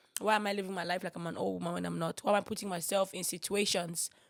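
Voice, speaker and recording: A woman's animated tone in a very clean recording with a silent background. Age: 20s. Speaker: podcast host. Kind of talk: casual chat.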